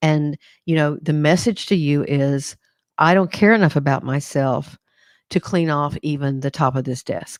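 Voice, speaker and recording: A woman talks at a moderate pace in a very deep, low pitch with ordinary pitch variation. The sound is dry and close with no echo, on a very clean recording with a silent background. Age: 60s. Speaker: psychologist. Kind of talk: live talk on mental health. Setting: Facebook live broadcast. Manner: hesitant, many fillers.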